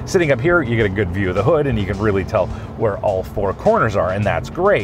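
A man talks over clear music in the background, with a dry sound that has no echo. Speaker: car reviewer. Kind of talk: review commentary. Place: car.

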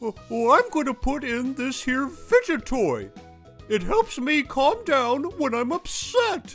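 Over clear music in the background, a cartoonish character voice speaks at a high pitch and a fairly slow pace. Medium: puppet show. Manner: easygoing.

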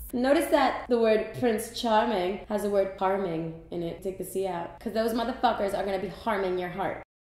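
A woman speaks at a moderate pace with ordinary pitch variation and hardly any pauses, her voice carrying audible room echo. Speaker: comedy sketch host. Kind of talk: comedic monologue to camera. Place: bathroom.

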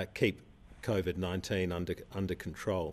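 A man is speaking. His pitch is very deep and low. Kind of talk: public health briefing statement. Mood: calm, reassuring, measured. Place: studio.

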